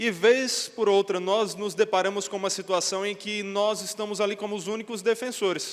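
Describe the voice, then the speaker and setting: A man with a high voice speaks at a moderate pace in a monotone, flat way, with noticeable background noise. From Northeast Brazil (João Pessoa, Paraíba). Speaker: pastor. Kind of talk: sermon.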